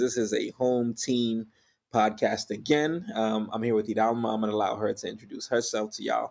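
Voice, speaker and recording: A man talks at a fairly quick pace in an ordinary speaking voice. His pitch is fairly low, and the recording is very clean with a silent background. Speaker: podcast host and ministry leader. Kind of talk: casual chat.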